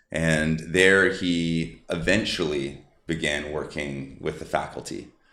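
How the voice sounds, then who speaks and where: A man's very deep, low voice, bright and sharp in tone, passionate, with fairly even intonation at a very slow pace. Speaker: supplement company COO. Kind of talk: podcast interview answer.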